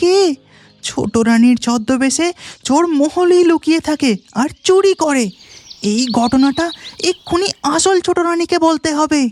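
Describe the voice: A cartoonish character voice pitched high talks at a fairly slow pace over faint background music.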